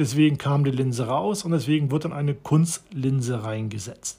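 His tone dark and mellow, a man speaks with lively intonation. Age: 40s. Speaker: podcaster. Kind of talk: personal monologue. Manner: halting, many fillers.

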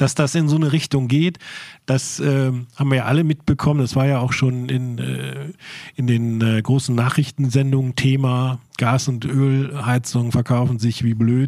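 A man's dark, mellow tone, delivered in a flat monotone. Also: medium pitch for a man, moderate pace. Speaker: podcast editor. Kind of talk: casual chat. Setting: warehouse.

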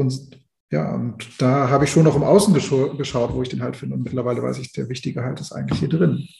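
Pitch varies in an ordinary way as the speaker rushes along at a very fast pace. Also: man, medium pitch for a man. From East Germany. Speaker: death doula and grief counselor. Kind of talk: podcast interview.

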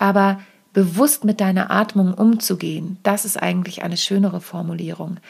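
A woman speaks at medium pitch and a moderate pace. Her voice is somewhat breathy, with fairly even intonation. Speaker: podcast host and stage performance coach. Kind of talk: solo podcast tutorial.

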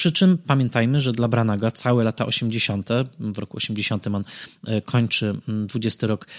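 A man's normal speaking voice at medium pitch with ordinary pitch variation, on a very clean recording with a silent background. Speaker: film critic podcaster. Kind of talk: solo film commentary.

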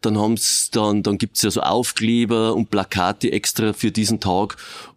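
A man talks fairly slowly at a medium pitch in a normal speaking voice. The sound is dry and close with no echo, and the recording is very clean with a silent background. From Regensburg, Bavaria. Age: 50s. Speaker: police officer. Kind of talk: interview.

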